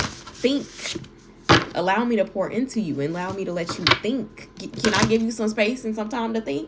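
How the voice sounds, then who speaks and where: At a moderate pace, a woman speaks in an animated tone with lively intonation. Background noise is noticeable. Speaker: tarot reader. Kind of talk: tarot reading.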